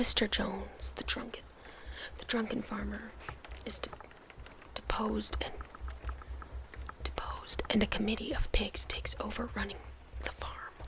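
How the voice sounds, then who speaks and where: Soft-spoken, the speaker keeps a moderate pace with long, frequent pauses over noticeable background noise. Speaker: ASMR creator. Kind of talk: reading a book blurb aloud.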